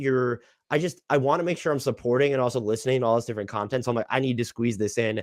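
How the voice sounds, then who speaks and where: The recording is very clean, with a silent background. A man talks at a very fast pace. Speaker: sports podcast host. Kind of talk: casual chat. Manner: frequent 'like' filler.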